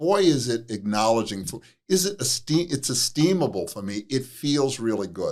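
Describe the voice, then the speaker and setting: His pitch moves through very wide swings. This man's voice sits at a medium pitch. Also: moderate pace. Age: 60s. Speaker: addiction counselor and author. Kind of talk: interview.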